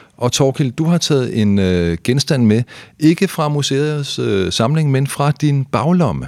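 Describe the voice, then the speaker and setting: A man speaks very slowly with lively intonation and very even loudness. The recording is very clean with a silent background and a dry, close sound with no echo. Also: fairly high pitch for a man. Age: 50s. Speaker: journalist and podcast host. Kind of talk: casual chat.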